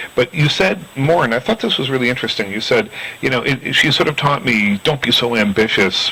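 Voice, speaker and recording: With lively intonation and a moderate pace, a man talks while noticeable background noise carries on behind him. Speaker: film critic, interviewer. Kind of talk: interview questions.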